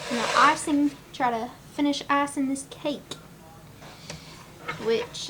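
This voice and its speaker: A woman's high-pitched voice with ordinary pitch variation, very slow delivery, and noticeable background noise. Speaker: family vlogger. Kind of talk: casual vlog chat. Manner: whispering; baby talk.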